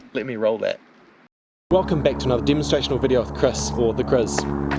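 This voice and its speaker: This man's pitch rises and falls across a very wide range. Vocal fry runs through his voice. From New Zealand. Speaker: van life vlogger. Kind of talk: casual vlog narration.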